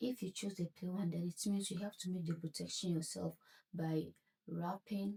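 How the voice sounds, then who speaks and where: Dry and close with no echo, a woman's somewhat breathy voice sits at a fairly low pitch with a dark, mellow tone and fairly even intonation. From Ghana. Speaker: craft tutorial creator. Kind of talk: tutorial. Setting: home at night.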